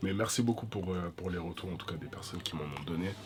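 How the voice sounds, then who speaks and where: A man with ordinary pitch variation. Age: 20s. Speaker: vlogger. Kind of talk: casual chat. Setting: eating on camera. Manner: halting.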